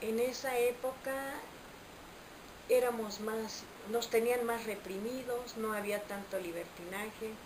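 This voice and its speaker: A woman with a fairly high pitch speaks very slowly, with fairly even intonation and long, frequent pauses. Noticeable background noise and audible room echo are present. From Mexico, Veracruz. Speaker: interviewee. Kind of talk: interview.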